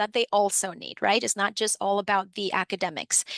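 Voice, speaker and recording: A bright, sharp voice with a Spanish accent moves along at a moderate pace. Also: woman. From Dominican Republic, then New York City. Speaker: financial education program supervisor. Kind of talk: webinar presentation. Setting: online webinar.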